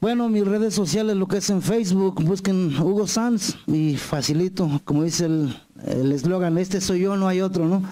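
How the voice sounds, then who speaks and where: Over a quiet background, a man speaks in a high-pitched voice at very even loudness. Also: ordinary pitch variation, moderate pace, hardly any pauses. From Mexico, Morelos. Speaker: singer-songwriter. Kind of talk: interview. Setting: TV studio set. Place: studio. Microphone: handheld.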